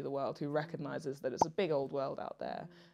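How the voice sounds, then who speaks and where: In a British accent, a woman talks at a very fast pace. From England, Nigerian heritage. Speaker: dating talk guest; guest. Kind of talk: casual chat. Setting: studio sofa. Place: home room.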